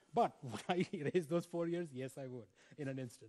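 Against a quiet background, this voice has a dark, mellow tone, lively intonation and a fairly quick pace. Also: man. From India. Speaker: education professor. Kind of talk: invited lecture. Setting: stage with audience. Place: stage. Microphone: headset.

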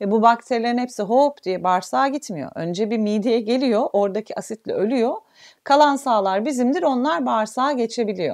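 The pace is moderate, with ordinary pitch variation. The background is quiet. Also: woman, fairly high pitch for a woman. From Turkey. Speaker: physiotherapist; physiotherapist instructor. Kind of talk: online health talk. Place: home room.

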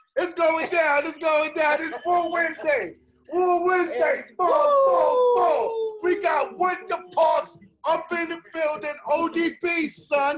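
Shouting with an American accent, a man speaks at an extremely high pitch and a very slow pace, with ordinary pitch variation over noticeable background noise. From New York, Brooklyn; New York. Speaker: podcast host and artist; podcast host. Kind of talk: casual chat. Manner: animated. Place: home room. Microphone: webcam.

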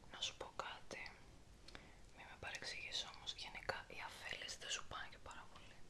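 Whispering and soft-spoken, a woman goes at a moderate pace with big swings in loudness over noticeable background noise. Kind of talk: soft-spoken roleplay chat. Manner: soft intimate ASMR whisper. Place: home room.

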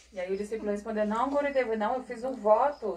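A woman talks at a fairly quick pace with a Brazilian accent. There is light background noise behind her. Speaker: interpreter; spiritual teacher. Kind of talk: consecutive interpreting. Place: home room.

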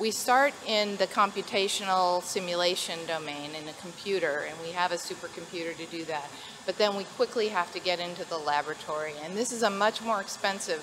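Against noticeable background noise, a woman talks at a fairly quick pace with hardly any pauses, a fairly low pitch and ordinary pitch variation. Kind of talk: interview answer. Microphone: handheld.

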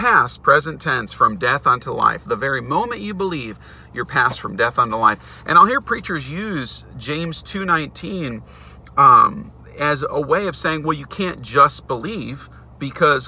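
A man at a fairly slow pace, his loudness swinging widely, in a dry sound with no echo. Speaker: bible teacher. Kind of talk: sermon-style vlog teaching. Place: car. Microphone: phone near.

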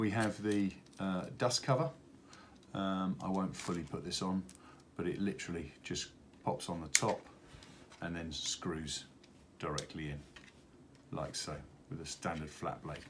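A man with a low pitch speaks at a fairly slow pace, keeping his intonation fairly even and taking long, frequent pauses. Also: fairly bright tone.

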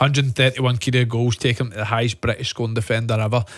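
A man's somewhat breathy, very fast delivery, with a dry sound, no echo, and a quiet background. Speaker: pundit. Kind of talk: radio sports discussion. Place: studio. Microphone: studio mic.

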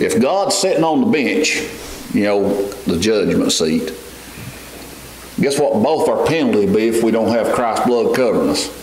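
Fairly low-pitched man at a fairly slow pace, lively intonation and a slightly mellow tone, in strong room echo

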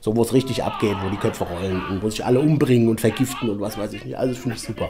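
Over noticeable background noise, a man of medium pitch talks very fast with ordinary pitch variation. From Frankfurt-Sachsenhausen. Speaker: actor. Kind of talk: interview answer.

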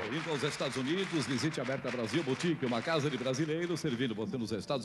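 Over noticeable background noise, the speech races at a very fast pace with lively intonation. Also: man. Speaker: TV announcer. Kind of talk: TV commercial read.

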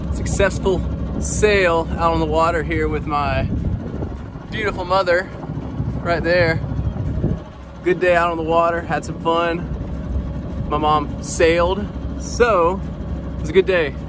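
There is noticeable background noise, yet the sound is dry with no echo. A man talks at a fairly slow pace, leaving long, frequent pauses. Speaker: sailing vlogger. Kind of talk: casual vlog chat. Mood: happy, relaxed. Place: boat. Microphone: phone near.

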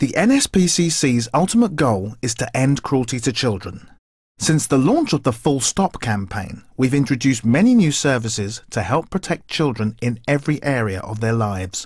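With a serious tone and lively intonation, a man sounds somewhat breathy. He speaks with hardly any pauses in a dry sound with no echo. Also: moderate pace, quiet background. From England. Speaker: voice actor. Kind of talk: charity appeal read. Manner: serious, informative. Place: studio.

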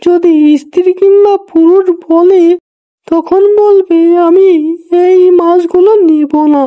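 In a cartoonish character voice, a woman speaks at an extremely high pitch and a fairly slow pace, with monotone, flat intonation and very even loudness. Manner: bossy, persuasive.

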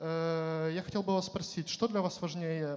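Speaking at a moderate pace, a man uses a high pitch with fairly even intonation. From Ukraine. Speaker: youth leader, audience questioner; questioner. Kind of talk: audience question. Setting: stage with audience. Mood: warm, grateful, lightly humorous. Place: hall. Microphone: handheld.

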